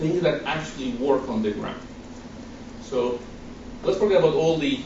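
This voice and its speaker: A man with a strong Guatemalan accent, fairly high in pitch, at a moderate pace, his intonation lively, with audible room echo and noticeable background noise. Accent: thick Guatemalan Spanish. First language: Spanish. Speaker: nonprofit director. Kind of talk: presentation.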